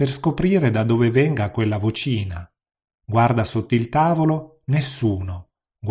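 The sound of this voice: An unforced reading voice over a quiet background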